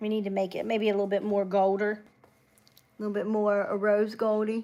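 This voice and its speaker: A woman's relaxed, dark and mellow voice at a medium pitch, with an Appalachian accent and monotone, flat intonation. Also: fairly quick pace. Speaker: beauty livestreamer. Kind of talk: casual live makeup tutorial. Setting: home livestream. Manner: chatty, relaxed.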